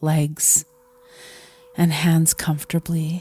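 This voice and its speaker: In a calm tone, a woman speaks at a fairly low pitch, the sound dry and close with no echo. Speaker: meditation guide. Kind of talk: guided meditation. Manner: calm, slow.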